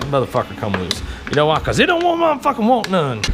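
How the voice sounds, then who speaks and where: A man with an American accent at a very fast pace and lively intonation, with audible room echo and noticeable background noise. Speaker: motorcycle DIY vlogger. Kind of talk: casual tutorial. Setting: home garage.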